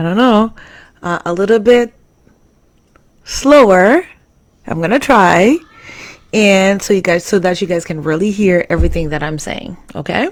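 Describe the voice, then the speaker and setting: A woman speaks at a moderate pace in a medium pitch, her intonation lively and broken by long, frequent pauses. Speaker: live stream host. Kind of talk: live stream talk.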